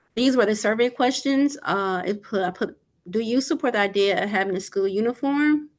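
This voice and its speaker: This woman speaks at a fairly high pitch with lively intonation. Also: fairly quick pace. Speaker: school staff member presenting survey results. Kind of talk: presentation at school meeting. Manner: fast.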